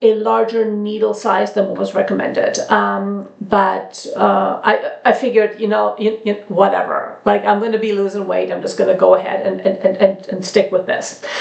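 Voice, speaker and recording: Hardly pausing at all, a woman talks at a moderate pace against noticeable background noise. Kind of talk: casual talk to camera. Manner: hesitant, many fillers.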